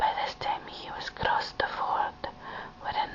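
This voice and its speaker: Someone whispers in a Scottish accent at a very slow pace. Background noise is noticeable. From Scotland. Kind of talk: poetry reading. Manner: whispered.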